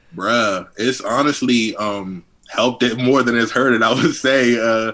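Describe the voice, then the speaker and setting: A man speaks at a fairly slow pace in a bright, sharp tone. His loudness stays very even. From Washington DC (Southeast DC). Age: 20s. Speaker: rapper. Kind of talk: interview. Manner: casual, many fillers.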